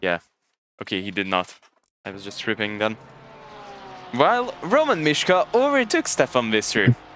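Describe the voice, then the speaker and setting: Music plays in the background as a man talks at a moderate pace, with big swings in loudness and long, frequent pauses. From Hungary. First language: Hungarian. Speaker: sim racing commentator. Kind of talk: live commentary. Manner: casual, halting.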